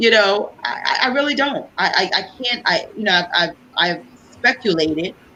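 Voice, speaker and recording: Amid noticeable background noise, a woman speaks at a fairly slow pace with lively intonation. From Liberia. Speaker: political candidate. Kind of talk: interview. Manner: animated.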